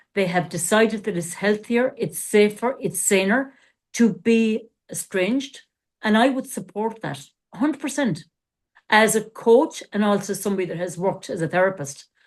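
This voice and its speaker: At a moderate pace, a woman of medium pitch speaks in a plain, everyday voice. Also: lively intonation. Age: 60s. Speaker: coach and former therapist. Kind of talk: casual podcast discussion.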